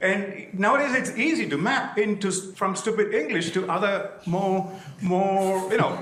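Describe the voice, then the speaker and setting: With a Keralan accent, a man speaks in a space with audible room echo and noticeable background noise. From southern India. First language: Malayalam. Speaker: audience member asking a question. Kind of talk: audience question at a lecture. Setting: conference hall with audience.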